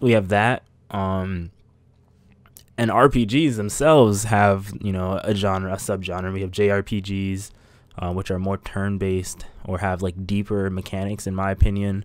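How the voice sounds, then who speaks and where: Pitched fairly low, a man talks at a fairly slow pace. His intonation stays fairly even. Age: 20s. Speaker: podcast host. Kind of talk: solo monologue. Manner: hesitant, many fillers. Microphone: close, loud mic.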